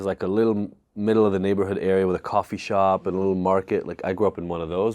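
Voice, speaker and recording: A man talks at a very fast pace in a fairly low voice with fairly even intonation. The recording is very clean, with a silent background. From Israel (Tel Aviv), then US at 14. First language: Hebrew. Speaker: addiction expert. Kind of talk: podcast interview, personal story. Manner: casual, conversational.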